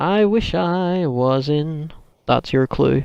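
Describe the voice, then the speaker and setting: Delivered at a very slow pace, the speech has a Northern Irish accent and ordinary pitch variation. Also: man. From Northern Ireland. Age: 30s. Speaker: gaming youtuber. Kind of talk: casual Q&A chat. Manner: animated.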